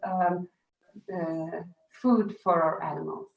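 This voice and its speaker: A woman with a Dutch accent, speaking at a very slow pace. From Flanders, Belgium. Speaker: farmer. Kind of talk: panel introduction. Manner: halting.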